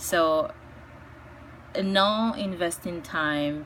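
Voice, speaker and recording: The speaker has a Spanish accent. Audible room echo surrounds the voice. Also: woman. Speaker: ESL teacher. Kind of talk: casual personal talk answering interview questions. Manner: hesitant, with many fillers.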